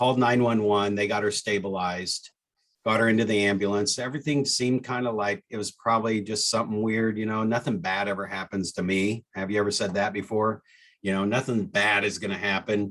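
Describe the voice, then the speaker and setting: Moving at a fairly quick pace, a man speaks with a fairly low pitch. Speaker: real estate coach. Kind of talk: personal story in coaching webinar. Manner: fast-talking; energetic.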